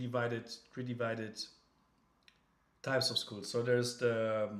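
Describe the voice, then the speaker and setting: A man with a German accent speaks fairly slowly with monotone, flat intonation. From Germany. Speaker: crypto livestreamer. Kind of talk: casual livestream chat. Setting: livestream. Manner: halting, many fillers and restarts.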